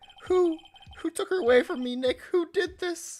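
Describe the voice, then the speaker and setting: Music plays in the background as a man in a put-on character voice speaks at a moderate pace, his pitch extremely high. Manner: anguished, melodramatic.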